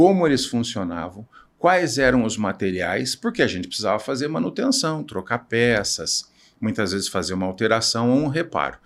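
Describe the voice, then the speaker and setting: On a very clean recording with a silent background, a man speaks at a moderate pace. His medium pitch moves in very wide swings. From Brazil, Piracicaba (São Paulo state). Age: 60s. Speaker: naval engineer and entrepreneur. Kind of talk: podcast interview.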